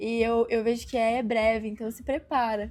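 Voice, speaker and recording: Her tone dark and mellow, a woman with a high pitch speaks in a monotone, flat intonation at a moderate pace. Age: 20s. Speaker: missionary performing artist. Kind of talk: testimony. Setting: group interview.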